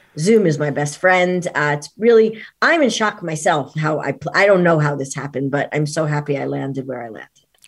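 A woman in a New York accent speaks at a fairly quick pace with hardly any pauses and a very deep, low pitch. Her intonation is lively, and her loudness swings widely. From New York City area. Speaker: performance coach. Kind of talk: interview. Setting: video call.

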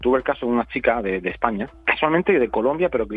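A man is talking. His pitch is medium. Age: 40s. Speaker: keto diet educator. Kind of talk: interview.

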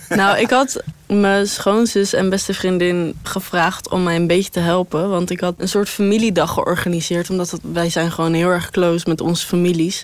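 Against noticeable background noise, the speaker keeps a moderate pace with hardly any pauses and fairly even intonation. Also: woman. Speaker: interviewee. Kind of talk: casual chat.

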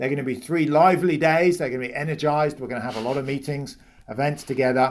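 Talking very fast in a British accent, a man keeps a fairly high pitch and fairly even intonation. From Britain. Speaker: economics professor. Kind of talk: interview.

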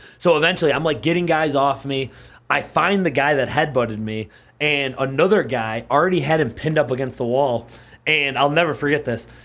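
With an American accent and an ordinary speaking voice, a man talks at a fairly quick pace and a fairly high pitch, with ordinary pitch variation. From Buffalo, New York. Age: 30s. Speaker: mixed martial arts fighter. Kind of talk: casual interview. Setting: studio.

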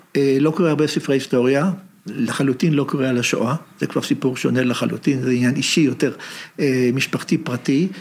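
A man at a very fast pace, with very even loudness and fairly even intonation. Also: medium pitch for a man. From Israel, Haifa. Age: 70s. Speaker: professor emeritus of Hebrew literature. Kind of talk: interview conversation.

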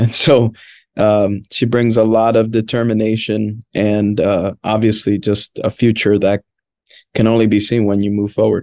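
A man with a Spanish accent speaks at a moderate pace in a fairly low pitch with a dark, mellow tone and monotone, flat intonation, the sound dry and close with no echo over a quiet background. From Washington, D.C. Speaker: pastor. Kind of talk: casual chat.

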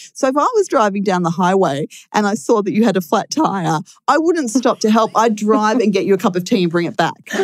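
In an Australian accent, a woman talks at a fairly quick pace with lively intonation. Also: fairly high pitch for a woman. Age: 40s. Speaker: diabetes advocate with type 1 diabetes. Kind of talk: casual interview chat. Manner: animated.

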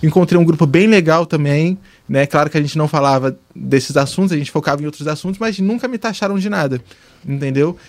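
This man has a normal speaking voice at a fairly high pitch. He talks at a fairly quick pace with ordinary pitch variation. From Brazil, Fortaleza then Rio de Janeiro from childhood. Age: 20s. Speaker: TV post-production editor. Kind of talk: casual chat.

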